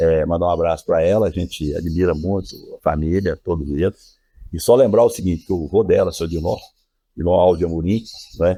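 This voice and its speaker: Fairly quick, fairly even speech with a dark, mellow tone. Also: man, very deep, low pitch for a man. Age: 60s. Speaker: local politician. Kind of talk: podcast interview.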